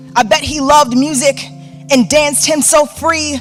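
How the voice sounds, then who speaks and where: Against music in the background, the speaking unfolds at a fairly slow pace. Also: woman. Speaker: spoken word artist. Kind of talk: spoken word poetry performance. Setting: live theater stage.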